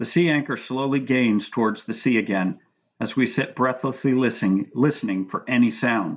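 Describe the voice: Someone reads aloud plainly. Behind the voice, the background is quiet.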